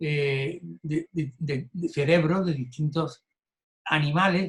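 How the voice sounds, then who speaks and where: The man's voice has a fairly high pitch. He talks at a very slow pace with fairly even intonation. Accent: Andalusian. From Andalusia, southern Spain. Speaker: Buddhism course teacher. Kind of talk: lecture. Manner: halting, with fillers and repetitions.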